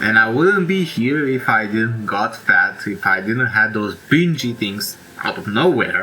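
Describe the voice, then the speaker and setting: A man with a Romanian accent at a fairly slow pace, with very wide pitch swings and noticeable background noise. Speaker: self-help YouTuber. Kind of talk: casual monologue. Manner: halting; informal.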